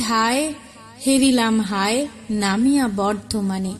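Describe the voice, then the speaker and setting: A woman talks with lively intonation while music plays in the background. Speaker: poetry reciter. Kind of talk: poetry reading.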